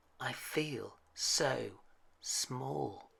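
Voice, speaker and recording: The voice is a put-on character voice. It sits at a low pitch. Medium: read story.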